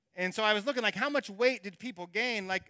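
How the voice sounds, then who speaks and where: Speaking at a very fast pace in a raised, projected voice, a man with a bright, sharp tone and high pitch uses ordinary pitch variation on a very clean recording with a silent background. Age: 40s. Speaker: pastor. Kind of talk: sermon.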